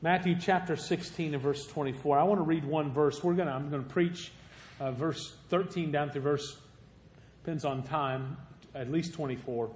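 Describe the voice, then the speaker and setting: Somewhat breathy, the speaker has a Southern Illinois accent, fairly even intonation, and a fairly slow pace. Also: man, fairly high pitch for a man. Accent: southern Illinois rural. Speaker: guest preacher. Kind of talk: sermon. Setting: church.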